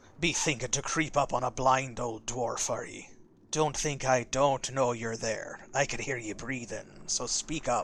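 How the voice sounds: This man is doing a put-on character voice. It is pitched in the medium range. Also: moderate pace.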